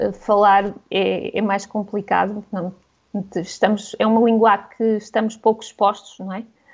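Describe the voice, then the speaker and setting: A woman speaks at a medium pitch and a fairly slow pace in a flat monotone, with big swings in loudness. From Portugal. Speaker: travel blogger. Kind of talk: radio interview.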